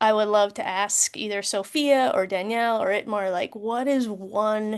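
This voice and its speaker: With a quiet background, a woman speaks in an American accent at a moderate pace, in a normal speaking voice with a fairly high pitch and fairly even intonation. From US Midwest. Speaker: war veteran, event moderator. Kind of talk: panel moderation. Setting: video call.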